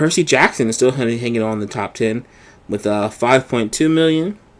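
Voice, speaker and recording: This man has an ordinary speaking voice at medium pitch. He moves at a moderate pace with ordinary pitch variation. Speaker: podcast co-host. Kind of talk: reading box office list.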